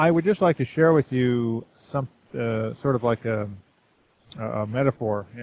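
A quiet man speaks at a moderate pace, his medium pitch varying in an ordinary way. Long, frequent pauses break up his speech, and the sound is dry and close with no echo. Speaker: caller. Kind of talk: casual monologue. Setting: online voice chat, breaking up. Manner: quiet, hard to hear.

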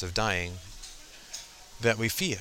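Monotone, flat intonation from a man, with noticeable background noise throughout. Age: 40s. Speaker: podcast host. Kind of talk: solo monologue. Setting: at the gym. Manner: halting with fillers.

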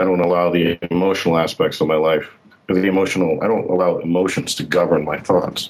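A man speaks very fast in a very deep, low voice with monotone, flat intonation. His loudness stays very even over noticeable background noise. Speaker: caller. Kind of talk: call-in conversation.

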